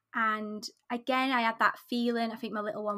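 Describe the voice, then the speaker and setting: A woman speaks with a bright, sharp tone at a fairly high pitch. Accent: British. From UK. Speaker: craft business owner and pattern designer. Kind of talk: casual interview chat.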